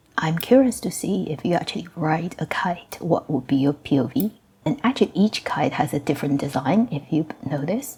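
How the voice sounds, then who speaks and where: A whispered delivery moves at a moderate pace, with noticeable background noise around it. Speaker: gaming youtuber. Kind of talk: casual game showcase commentary. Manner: whispering, lowered volume.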